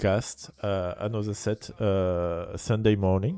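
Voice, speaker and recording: A man with a French accent speaks at a very slow pace in a fairly low, dark, mellow voice on a very clean recording with a silent background. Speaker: esports caster. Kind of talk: live commentary. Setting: livestream. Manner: halting.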